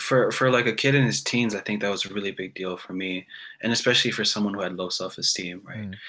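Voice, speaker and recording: At a very fast pace, a man talks with a fairly low pitch and ordinary pitch variation. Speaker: guest musician. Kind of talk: casual chat. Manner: soft-spoken.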